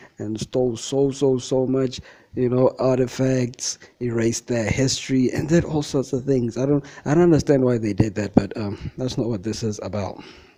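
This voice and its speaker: A man at a medium pitch and moderate pace, with fairly even intonation, amid noticeable background noise. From South Africa. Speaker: video blogger. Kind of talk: casual monologue. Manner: halting.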